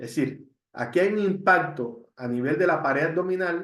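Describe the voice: Slow speech from a man, with ordinary pitch variation and strong room echo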